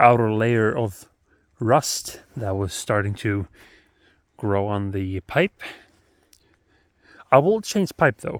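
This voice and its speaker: A man with a Swedish accent speaks at a very slow pace with long, frequent pauses, his fairly low pitch showing ordinary variation, in a very clean, silent-background recording with a dry, close sound and no echo. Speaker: motorbike hobbyist vlogger. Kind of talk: casual vlog. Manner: halting with many fillers.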